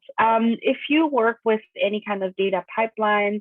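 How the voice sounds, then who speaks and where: With a German accent, a woman speaks at a moderate pace and a medium pitch. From Germany. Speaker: data quality consultant and conference speaker. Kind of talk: technical talk. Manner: casual, many filler words.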